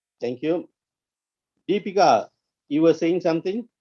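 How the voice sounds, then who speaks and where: A man with an Indian accent talks at a high pitch with ordinary variation. His tone is dark and mellow, and the sound is dry and close with no echo. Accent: Indian English (Tamil). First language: Tamil. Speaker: corporate trainer. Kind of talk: interactive training webinar. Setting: online webinar.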